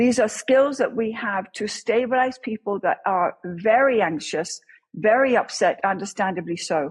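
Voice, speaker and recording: With an English accent, a woman speaks at a fairly high pitch using lively intonation. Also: moderate pace. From England. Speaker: crisis response chaplain, former police officer. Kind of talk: interview.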